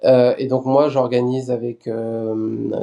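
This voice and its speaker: In a dark, mellow tone, a man speaks at medium pitch with monotone, flat intonation. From France, Lyon. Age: 30s. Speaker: web TV editorial chief. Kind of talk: podcast interview.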